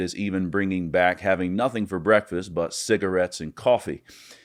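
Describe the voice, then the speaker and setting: A man with a plain, everyday voice talks at a fairly quick pace and a fairly low pitch. His pitch varies in an ordinary way against a quiet background. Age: 30s. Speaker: podcaster. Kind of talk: scripted narration.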